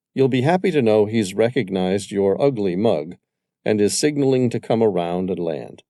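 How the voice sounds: The reading voice sounds natural. Behind it, all is quiet.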